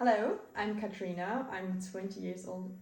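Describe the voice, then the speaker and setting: The voice is somewhat breathy, with a dark, mellow tone and a moderate pace. Audible room echo surrounds it. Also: woman. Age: 20s. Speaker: marketing entrepreneur, digital nomad. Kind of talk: interview. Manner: halting.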